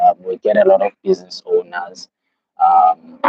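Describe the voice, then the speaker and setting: A man speaks with a South African accent. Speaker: livestreamer. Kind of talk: casual live stream chat. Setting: live stream. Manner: casual, many fillers.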